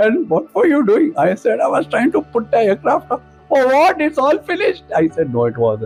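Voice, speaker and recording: Music plays in the background as a man speaks. He has an Indian accent and talks at a moderate pace. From India, Pune. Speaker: retired air force officer. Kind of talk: anecdote telling.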